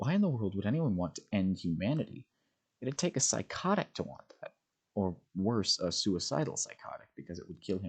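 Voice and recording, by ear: Someone is reading aloud in a natural voice, with a quiet background behind.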